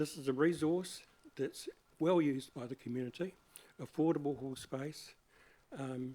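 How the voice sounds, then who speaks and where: Speaking with a New Zealand accent, a man uses a dark, mellow tone, a fairly high pitch and fairly even intonation. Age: 70s. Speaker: community hall volunteer. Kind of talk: public submission to council hearing. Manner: halting.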